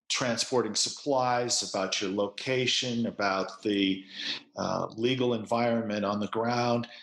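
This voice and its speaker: A man with an American accent speaks at a fairly slow pace and medium pitch, keeping his loudness very even and his intonation fairly even. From United States. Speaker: company executive. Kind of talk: podcast interview. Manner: hesitant, with repeated words.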